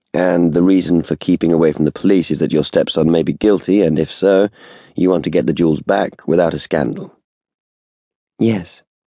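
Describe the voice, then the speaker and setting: A man with a British accent speaks at a very deep, low pitch and a fairly quick pace, with very even loudness and a dry, close sound with no echo. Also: ordinary pitch variation. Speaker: audiobook narrator. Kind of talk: dramatic audiobook narration, unabridged thriller. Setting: studio. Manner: measured, suspenseful, restrained; shifts between characters, polished, crisp British delivery.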